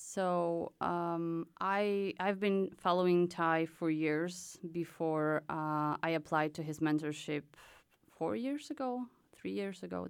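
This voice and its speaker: In a very clean recording with a silent background, a woman with a Polish accent speaks at a fairly low pitch and a fairly slow pace, with ordinary pitch variation. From Poland. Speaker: artist in residence. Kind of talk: casual interview chat. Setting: studio.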